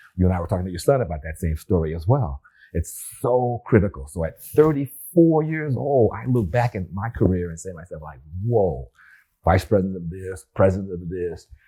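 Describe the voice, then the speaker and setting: A man with a very deep, low pitch and a dark, mellow, somewhat breathy tone talks at a fairly quick pace. His pitch swings very widely and his loudness swings a lot, on a very clean recording with a silent background. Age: 70s. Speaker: retired rocket scientist and business leader. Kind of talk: interview conversation.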